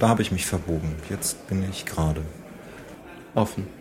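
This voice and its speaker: There is noticeable background noise behind this man. He talks at a fairly slow pace with fairly even intonation. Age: 40s. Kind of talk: interview answers.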